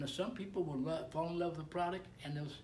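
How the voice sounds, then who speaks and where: A man speaks with a somewhat breathy voice. Some room echo can be heard. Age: 70s. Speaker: network marketing distributor. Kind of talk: casual chat. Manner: halting.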